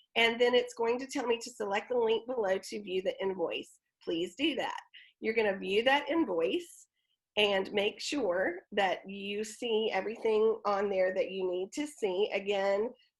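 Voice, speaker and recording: A woman speaks at a fairly slow pace in an ordinary speaking voice with ordinary pitch variation. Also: fairly high pitch for a woman. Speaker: theatre event coordinator. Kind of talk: online presentation walkthrough.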